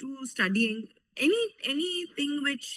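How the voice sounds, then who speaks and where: A woman uses a raised, projected voice with a high pitch and a bright, sharp tone. Her pitch moves in very wide swings. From India. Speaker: lawyer. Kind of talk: interview Q&A. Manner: hesitant, many fillers.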